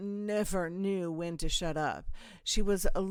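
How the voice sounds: This is a natural reading voice.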